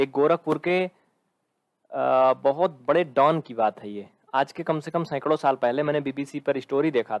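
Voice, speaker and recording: Speaking at a moderate pace, a man has a fairly high pitch against a quiet background. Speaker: maths teacher. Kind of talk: live online lecture. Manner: animated. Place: classroom. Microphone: headset.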